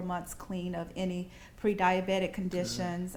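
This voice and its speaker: In a Southern US accent, a woman speaks at medium pitch. Her pace is fairly slow. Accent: Southern American. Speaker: author being interviewed. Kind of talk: interview answer.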